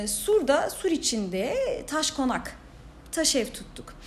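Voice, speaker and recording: There is noticeable background noise as a woman talks. Her intonation is lively and her pace fairly slow. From Diyarbakır, southeastern Turkey. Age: 30s. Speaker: social entrepreneur, founder of a women's cooperative. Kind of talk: casual interview.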